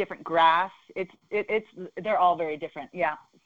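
At a fairly quick pace, a woman talks in a normal speaking voice with fairly even intonation. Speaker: softball coach and former Olympian. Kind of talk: casual interview.

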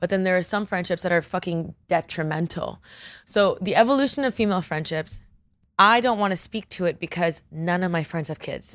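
A woman with a plain, everyday voice speaks at a fairly quick pace and medium pitch, with ordinary pitch variation. The recording is very clean, with a silent background. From Miami, Florida (Coral Gables). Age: 30s. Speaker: pop culture influencer. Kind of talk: casual chat.

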